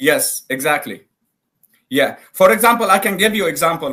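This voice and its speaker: A man with an Arabic accent speaks at a moderate pace, his bright, sharp tone carried by lively intonation. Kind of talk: live debate call-in.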